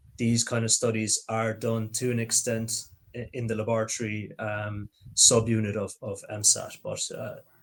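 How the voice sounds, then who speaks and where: A man speaks at a moderate pace. He has an Irish accent. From Ireland, Limerick. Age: 30s. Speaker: process engineer. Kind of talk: live Q&A.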